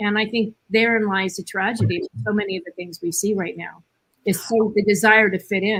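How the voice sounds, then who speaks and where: A woman speaks at a medium pitch and a fairly quick pace with fairly even intonation. She has an unremarkable speaking voice. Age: 60s. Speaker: panelist. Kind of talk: panel discussion.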